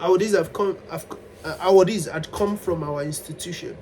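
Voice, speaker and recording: Over noticeable background noise, a man talks at a fairly quick pace with a high pitch. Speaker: vlogger. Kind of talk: personal storytelling monologue. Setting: self-recorded on camera. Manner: animated, at times loud.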